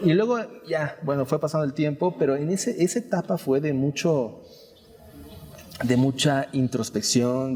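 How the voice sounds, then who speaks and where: Ordinary pitch variation at a fairly slow pace. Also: man. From Mexico, Yucatán (Mérida). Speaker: painter. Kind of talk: interview. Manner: hesitant, many fillers.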